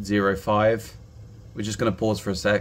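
Fairly low male speech, its pitch varying in an ordinary way. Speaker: reef aquarium hobbyist YouTuber. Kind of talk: angry rant, fed-up product complaint aimed at the maker, sarcastic and exasperated. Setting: home video recording, talking to camera while testing the probe. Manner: exasperated, emphatic, clipped and repetitive; rambling, halting, with frequent filler words. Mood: frustrated, complaining. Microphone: phone near.

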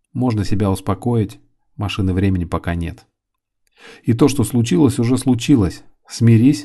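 A man with a fairly low pitch and a dark, mellow tone speaks at a moderate pace, somewhat breathy. He uses ordinary pitch variation and leaves long, frequent pauses. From Volgograd, southern Russia. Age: 30s. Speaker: hairdresser and author. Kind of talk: reading aloud.

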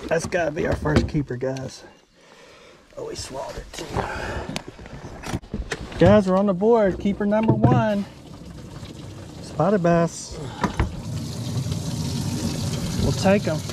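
The speech comes at a fairly slow pace with long, frequent pauses, a dry sound with no echo and loud background noise. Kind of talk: casual vlog chat. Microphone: phone near.

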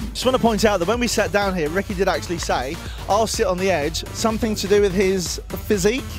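Over clear music in the background and in a dry sound with no echo, a man talks very fast in a high pitch with an upbeat, energetic tone. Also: ordinary pitch variation. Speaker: TV and radio presenter. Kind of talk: festival backstage interviewer. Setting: outdoors at a festival. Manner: upbeat, chatty, energetic. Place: hall. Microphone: handheld.

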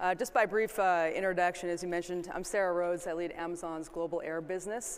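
Intonation stays fairly even as the speech moves at a fairly quick pace. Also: woman, fairly low pitch for a woman.

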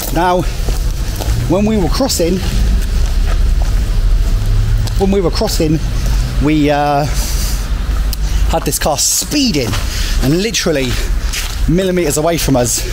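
Music plays in the background as a man speaks at a high pitch with lively intonation. His pace is fairly slow, with long, frequent pauses. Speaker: travel vlogger. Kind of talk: casual vlog chat. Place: street. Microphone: phone near.

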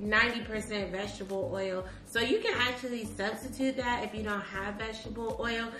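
Noticeable background noise surrounds the speech. A woman talks with fairly even intonation at a moderate pace. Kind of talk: casual vlog chat. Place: kitchen. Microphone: camera far.

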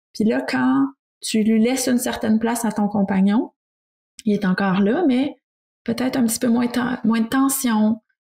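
With a Quebec accent, a woman speaks in a somewhat breathy, fairly high voice with ordinary pitch variation. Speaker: speech therapist co-host. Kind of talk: casual interview.

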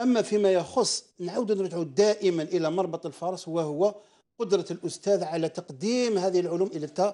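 Against a quiet background, a man with a high pitch and a dark, mellow tone talks at a moderate pace, with ordinary pitch variation and hardly any pauses. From Algeria. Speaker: parents' association representative; guest. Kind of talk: live TV debate. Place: studio. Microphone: lapel.

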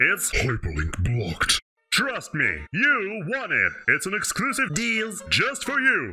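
A man talks at a fairly slow pace in a put-on character voice. Faint music plays in the background. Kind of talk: comic overacting. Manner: pushy sales pitch.

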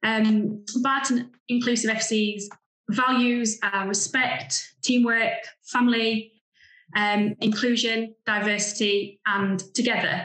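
A woman speaks against a quiet background. Room echo is audible. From England. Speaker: grassroots football club founder; presenter. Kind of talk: remote presentation. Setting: video call. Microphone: video call.

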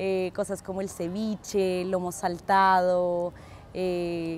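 A woman speaks at medium pitch against light background noise. The sound is dry with no echo. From Colombia, Ecuador and Peru. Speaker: interviewee. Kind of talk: interview. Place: street. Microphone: lapel.

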